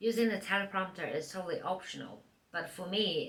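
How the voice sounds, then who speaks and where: There is audible room echo and noticeable background noise. A woman with a fairly low pitch talks at a moderate pace. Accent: non-native. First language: not English. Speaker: part-time YouTuber. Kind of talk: tutorial, reading from a teleprompter. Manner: scripted, read from teleprompter.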